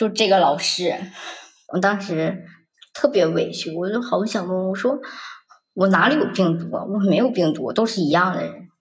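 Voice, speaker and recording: A woman speaks at a moderate pace with long, frequent pauses, and the room echo is audible. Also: medium pitch for a woman, ordinary pitch variation. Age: 20s. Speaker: office worker sharing bullying story. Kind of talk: personal testimony.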